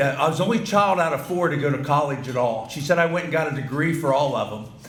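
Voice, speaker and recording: Noticeable background noise and audible room echo surround a man with an American accent. His pitch is fairly high, with ordinary pitch variation. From Ohio, US Midwest. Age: 60s. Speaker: banquet keynote speaker. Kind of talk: speech to banquet audience. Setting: banquet hall with audience. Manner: halting, repetitive.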